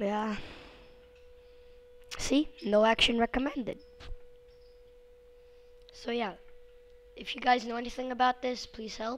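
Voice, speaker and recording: A woman speaks at a fairly high pitch. Noticeable background noise runs behind her. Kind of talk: casual screen-recording help request.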